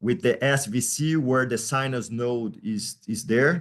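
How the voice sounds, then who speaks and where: A man with a Portuguese accent at a medium pitch, ordinary pitch variation and a very slow pace, against a quiet background. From Brazil. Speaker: pediatric surgeon. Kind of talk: lecture. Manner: loud. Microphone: faint, cutting-out audio.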